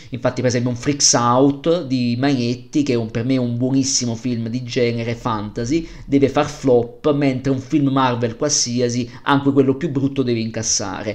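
The man's voice sits at a medium pitch, with monotone, flat intonation. He keeps a moderate pace. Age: 30s. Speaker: film podcaster. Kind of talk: solo film review podcast.

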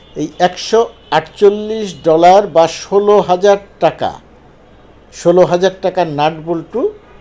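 A man's high-pitched voice with fairly even intonation, over noticeable background noise. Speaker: political commentator. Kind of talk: monologue commentary on news.

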